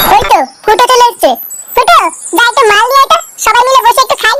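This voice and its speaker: A squeaky, cartoonish character voice at an extremely high pitch and a very fast pace. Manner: crude, swearing.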